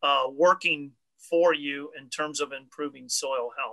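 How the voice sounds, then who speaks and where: Over a quiet background, a man with an American accent speaks at a very slow pace in a bright, sharp tone and a fairly high pitch. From US Midwest. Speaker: extension educator and panel moderator. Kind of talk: panel discussion. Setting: video call. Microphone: webcam.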